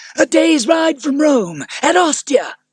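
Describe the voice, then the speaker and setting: A put-on character voice, high in pitch, at a fairly slow pace. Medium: read story. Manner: devoted, earnest.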